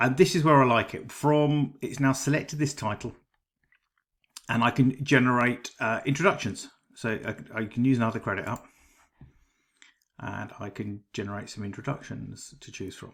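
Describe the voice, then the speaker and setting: With a British accent, a man talks at a moderate pace and medium pitch, using ordinary pitch variation and taking long, frequent pauses. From Britain. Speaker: AI writing tool reviewer. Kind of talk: tutorial. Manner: casual, with frequent ums and uhs.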